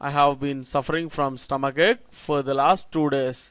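A man with a normal speaking voice talks at a fairly high pitch. The recording is very clean with a silent background. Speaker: spoken English teacher. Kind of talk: lecture.

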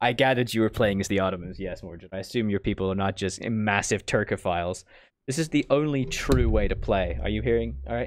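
This man's pitch is fairly low, with ordinary variation. He talks at a fairly quick pace.

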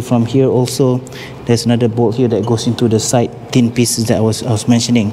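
The intonation is monotone and flat. Light background noise sits under the voice. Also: man. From Malaysia. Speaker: fitness equipment seller and vlogger. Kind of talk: tutorial vlog. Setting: gym showroom, working alone. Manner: casual, hesitant with fillers. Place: gym. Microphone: lapel.

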